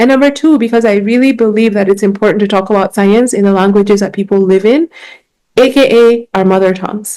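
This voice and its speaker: Speaking very fast, a woman uses a medium pitch and a dark, mellow tone with ordinary pitch variation. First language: Gikuyu. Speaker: science communicator and biologist. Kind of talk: conference talk. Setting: conference stage with audience.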